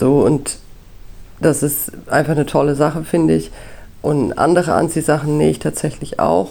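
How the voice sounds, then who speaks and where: With a very deep, low pitch and vocal fry, a woman speaks at a moderate pace in a dark, mellow tone, keeping very even loudness and ordinary pitch variation, with long, frequent pauses. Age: 30s. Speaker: podcast host, photo lab technician and mother. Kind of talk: solo podcast monologue.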